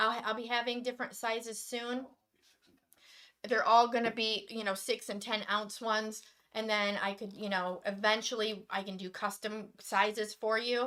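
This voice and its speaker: A woman speaks loudly at a moderate pace in an American accent, her fairly high voice bright and sharp with fairly even intonation. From Michigan. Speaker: acrylic pouring artist. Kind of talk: live stream demonstration chat.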